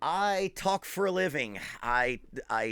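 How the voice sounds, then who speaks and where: A man with an Appalachian accent speaks with lively intonation. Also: very clean recording, silent background. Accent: Appalachian American. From southern West Virginia, Boone County. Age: 40s. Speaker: drummer and drum teacher. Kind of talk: casual talk to an audience.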